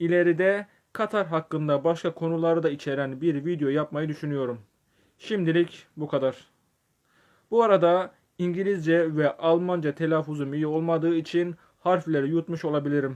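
This man has an unremarkable speaking voice, fairly high in pitch, with fairly even intonation. He talks at a moderate pace against a quiet background. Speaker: video essayist. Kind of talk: scripted narration.

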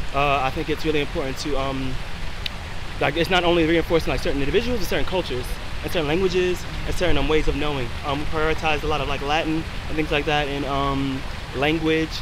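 A man speaks at a very fast pace. The sound is dry with no echo, over noticeable background noise. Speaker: interviewee. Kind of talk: interview answer. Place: street.

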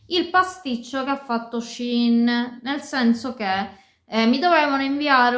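A woman's high-pitched voice at a fairly slow pace, over a quiet background. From Sicily. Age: 30s. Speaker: fashion and beauty YouTuber. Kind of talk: casual talk to camera. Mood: disappointed complaint. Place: home room. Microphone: phone near.

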